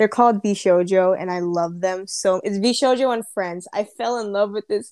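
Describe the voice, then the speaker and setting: An unremarkable speaking voice with ordinary pitch variation. The sound is dry and close, with no echo. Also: woman. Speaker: podcast co-host.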